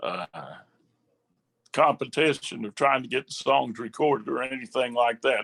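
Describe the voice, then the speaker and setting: A man speaks in an Appalachian accent with a dry, close sound and no echo. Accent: Appalachian US Southern. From West Virginia. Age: 70s. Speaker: southern gospel singer and songwriter. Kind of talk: casual interview chat. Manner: halting, many fillers.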